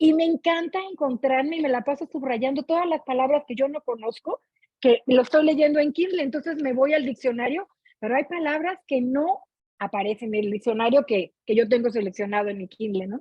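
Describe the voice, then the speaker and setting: In a Mexican accent, a woman talks at a fairly quick pace and high pitch with lively intonation and an animated tone. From Mexico. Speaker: book club participant. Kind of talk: casual chat.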